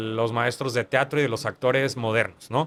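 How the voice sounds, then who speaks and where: His pitch sits in the medium range for a man. It moves up and down in an ordinary way. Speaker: actor. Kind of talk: interview conversation.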